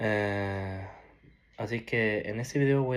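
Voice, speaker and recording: A man talks at a very slow pace with fairly even intonation, and audible room echo surrounds his voice. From Norway (Peruvian family). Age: 20s. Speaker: ex-Jehovah's Witness sharing his story. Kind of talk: personal testimony. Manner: halting, with many restarts and fillers.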